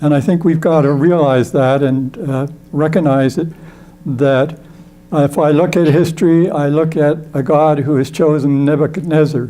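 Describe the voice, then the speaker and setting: A man's fairly high voice with fairly even intonation, over noticeable background noise. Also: moderate pace, very even loudness. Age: old. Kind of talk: endorsement speech. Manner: halting.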